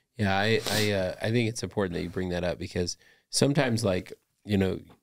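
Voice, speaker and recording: In a very deep, low voice with an American accent, a man speaks at a fairly quick pace with fairly even intonation on a very clean recording with a silent background. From Los Angeles, US. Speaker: podcast host and founder. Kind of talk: podcast interview.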